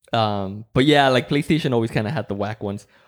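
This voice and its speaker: Racing at a very fast pace, a man with a medium pitch and a Spanish accent talks with lively intonation. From Mexico. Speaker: podcast host. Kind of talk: casual chat. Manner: relaxed, low energy.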